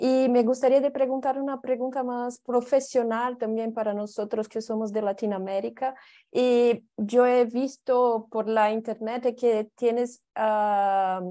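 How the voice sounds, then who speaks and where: A woman with a Brazilian accent, high-pitched yet dark and mellow in tone, fairly even in intonation, at a fairly slow pace with hardly any pauses, over a quiet background. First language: Portuguese (speaking Spanish). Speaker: audience member. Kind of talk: audience question. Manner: halting.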